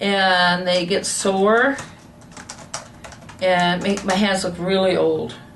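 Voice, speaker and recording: Room echo is audible as the speech unfolds at a very slow pace with fairly even intonation. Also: woman. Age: 60s. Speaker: naturopathic patient. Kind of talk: medical consultation.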